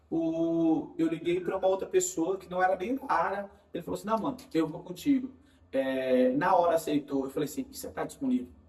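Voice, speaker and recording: A man at high pitch and a fairly quick pace, with very wide pitch swings and big swings in loudness, amid noticeable background noise. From Bahia, Brazil. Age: 20s. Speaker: digital marketing specialist. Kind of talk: casual interview.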